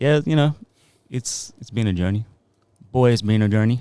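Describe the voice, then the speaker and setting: Dark, mellow tone from a man with an American accent, medium pitch and a moderate pace. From Australia, Sydney. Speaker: music producer and songwriter. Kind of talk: casual chat.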